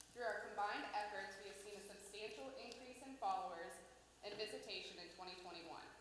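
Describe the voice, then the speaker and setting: A woman speaks at a fairly quick pace and a medium pitch, with ordinary pitch variation, noticeable background noise and audible room echo. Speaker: tourism organization staff presenter. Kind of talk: report presentation to city council. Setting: city council meeting. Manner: formal.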